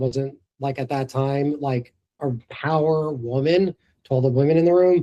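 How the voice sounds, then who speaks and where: In a New York accent, the speaker uses a dark, mellow tone with fairly even intonation. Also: man. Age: 40s. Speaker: entrepreneur. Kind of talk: interview before live audience.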